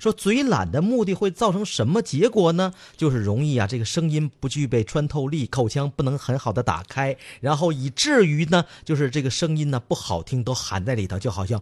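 On a very clean, dry, close recording with a silent background and no echo, a man with a fairly high, somewhat breathy voice speaks in an animated tone at a moderate pace, with very wide pitch swings and hardly any pauses. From Northeast China. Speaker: radio talk show host. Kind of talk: reading a children's story aloud; casual comedic chat.

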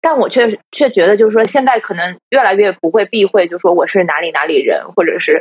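With lively intonation, a woman speaks at a fairly high pitch in an unremarkable speaking voice. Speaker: podcast host. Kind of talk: casual chat, live stream.

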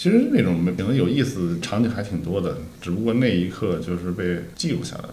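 Fairly quick speech from a man with a fairly low pitch, with audible room echo and noticeable background noise. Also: lively intonation. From northeastern Beijing, raised among Northeasterners. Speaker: film director. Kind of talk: casual interview. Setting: director's studio.

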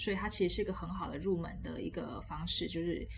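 Music plays in the background and room echo is audible as a woman with a Taiwanese accent talks at a fairly quick pace. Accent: Taiwanese Mandarin. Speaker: children's literacy education specialist. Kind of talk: casual interview chat.

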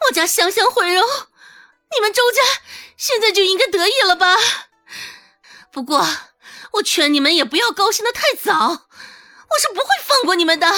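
A loud, shrill put-on character voice with a bright, sharp tone and lively intonation. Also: woman, extremely high pitch for a woman, moderate pace.

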